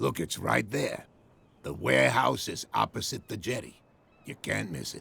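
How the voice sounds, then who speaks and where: A man puts on a raspy character voice with a very deep, low pitch and very wide pitch swings. He goes at a moderate pace with big swings in loudness. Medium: video game. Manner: proud, guarded.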